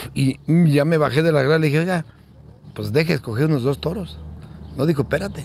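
With vocal fry and ordinary pitch variation, a man talks at a very fast pace broken by long, frequent pauses. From Guanajuato, central Mexico. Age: 60s. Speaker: bull rancher. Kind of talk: interview. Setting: at his home. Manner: halting, repeats words.

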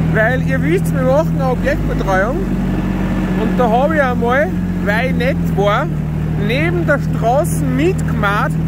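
Loud background noise fills this dry, echo-free clip, where the speech keeps a moderate pace. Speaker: tractor driver, channel host. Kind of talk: casual vlog commentary. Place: farm machine. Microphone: phone near.

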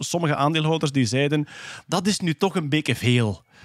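Against a quiet background with a dry sound and no echo, a man uses a normal speaking voice at a fairly high pitch with ordinary pitch variation. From Flanders, Belgium. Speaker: podcast host presenting science news. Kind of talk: casual chat.

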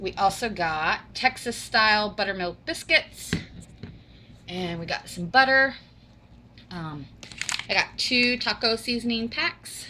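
A woman with a bright, sharp tone and medium pitch speaks at a slow pace, leaving long, frequent pauses. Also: ordinary pitch variation.

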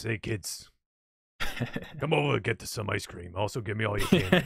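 A man puts on a character voice. It sits at a fairly low pitch for a man and moves at a fairly quick pace. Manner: creepy, sinister.

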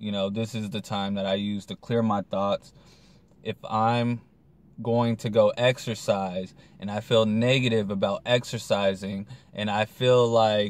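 A man's fairly low voice in monotone, flat intonation at a fairly slow pace. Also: dry sound with no echo. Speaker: vlogger. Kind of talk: casual vlog chat. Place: car. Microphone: phone near.

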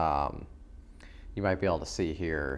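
The pace of this man's speech is moderate. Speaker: coffee reviewer. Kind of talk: casual vlog chat. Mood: relaxed, appreciative. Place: home room. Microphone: lapel.

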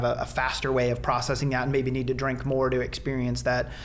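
Here a man speaks with a Midwestern American accent. His pace is fairly quick. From south central Nebraska. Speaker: biology professor and veterinarian; interview guest. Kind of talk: interview, explanatory. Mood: earnest, measured. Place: office. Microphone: studio mic.

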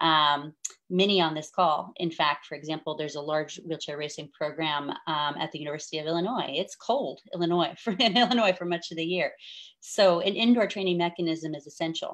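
A woman speaks in an ordinary speaking voice at a fairly low pitch. She moves at a fairly quick pace with ordinary pitch variation. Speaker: event host, Paralympic wheelchair racing champion. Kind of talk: live event hosting. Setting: live stream video call.

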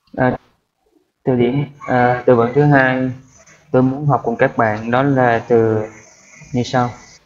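A man at a very slow pace, monotone and flat, with long, frequent pauses. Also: medium pitch for a man. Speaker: IELTS vocabulary tutor on video channel. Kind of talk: tutorial. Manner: halting, many fillers.

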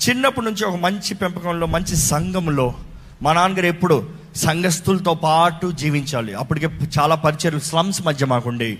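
A man's high-pitched voice with lively intonation. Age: 30s. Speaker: pastor. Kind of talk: testimony.

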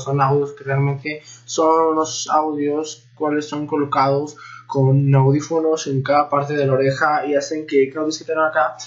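A man talks at a moderate pace. Nothing much can be heard behind him. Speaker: vlogger reacting to a video. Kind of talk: casual reaction vlog chat. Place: home room. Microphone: webcam.

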